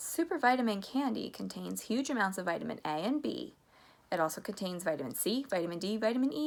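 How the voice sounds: The reading voice sounds natural. It has lively intonation.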